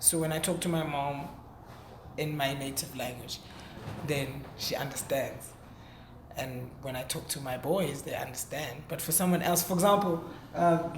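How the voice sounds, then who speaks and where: The speech has long, frequent pauses at a moderate pace, with noticeable background noise. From South Africa, Heidelberg (Gauteng). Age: 20s. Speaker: rapper. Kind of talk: interview. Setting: hotel interview. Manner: articulate; halting, repeats words.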